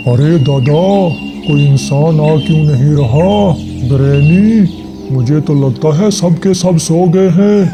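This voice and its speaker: A man's put-on character voice, fairly high in pitch, over loud music in the background. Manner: nervous, comic.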